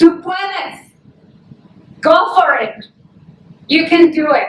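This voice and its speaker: In a Mexican accent, a woman speaks at an extremely high pitch and a very slow pace, with ordinary pitch variation. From Mexico. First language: Spanish. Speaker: student speaker, nurse assistant. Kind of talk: personal testimony speech.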